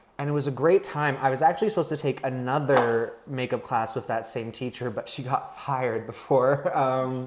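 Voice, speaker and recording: A man speaks at a moderate pace and medium pitch with ordinary pitch variation, hardly any pauses, and noticeable background noise. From Pennsylvania and Texas, US. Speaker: actor and special effects makeup artist. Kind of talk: casual chat with makeup tutorial. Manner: loud.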